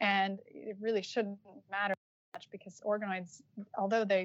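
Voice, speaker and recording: In an American accent, a woman speaks at a moderate pace and a medium pitch. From US, Utah. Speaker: stem cell scientist, lab group leader. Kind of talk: interview. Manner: hesitant, many fillers.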